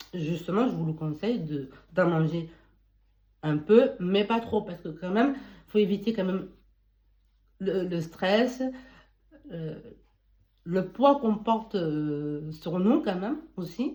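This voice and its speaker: Somewhat breathy with a dark, mellow tone, the voice moves at a very slow pace with lively intonation and long, frequent pauses. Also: woman, medium pitch for a woman. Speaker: beauty and wellness advice youtuber. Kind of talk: casual advice monologue. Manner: halting, with false starts.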